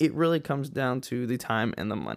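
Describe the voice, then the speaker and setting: With an American accent, a man speaks in a plain, everyday voice at a medium pitch and with lively intonation. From West Texas, El Paso. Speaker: podcast host, airline pilot. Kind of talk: solo podcast monologue. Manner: casual, conversational.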